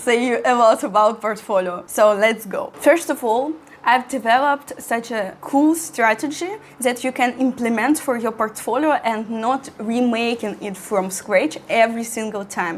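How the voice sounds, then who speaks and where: A woman with a Russian accent speaks in a fairly high pitch. Noticeable background noise is present. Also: ordinary pitch variation, moderate pace. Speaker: architecture student and content creator. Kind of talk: tutorial. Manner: halting.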